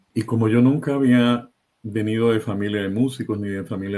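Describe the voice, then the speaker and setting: Fairly even intonation from a man, delivered at a moderate pace. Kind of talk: interview.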